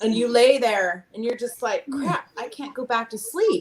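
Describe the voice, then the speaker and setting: Noticeable background noise fills the clip as the talking proceeds at a moderate speed. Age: 50s. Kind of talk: casual chat.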